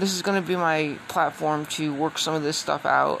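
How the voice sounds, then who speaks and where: Noticeable background noise sits behind a woman with a very deep, low pitch. She talks at a fairly quick pace with fairly even intonation. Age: 50s. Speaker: podcaster. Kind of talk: casual monologue.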